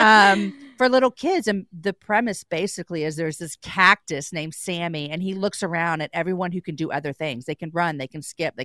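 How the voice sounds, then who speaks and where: An ordinary speaking voice from a woman, fairly low in pitch, with lively intonation, a fairly quick pace and hardly any pauses, on a very clean recording with a silent background and a dry, close sound with no echo. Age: 40s. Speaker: podcast host. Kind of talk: radio interview.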